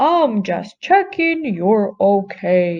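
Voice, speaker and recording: A woman puts on a character voice at a medium pitch. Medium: read story. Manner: shy, gentle.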